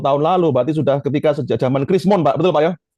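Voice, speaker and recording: A man speaks with a fairly high pitch and a dark, mellow tone. His pitch varies in an ordinary way. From Surabaya, East Java. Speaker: trading coach. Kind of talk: casual chat. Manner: animated.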